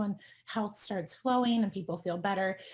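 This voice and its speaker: A woman's medium-pitched, dark, mellow and somewhat breathy voice with an American accent, fairly quick pace and ordinary pitch variation, on a very clean recording with a silent background. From US East Coast. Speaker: doctor treating chronic illness. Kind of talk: expert talk presentation. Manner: fast; animated.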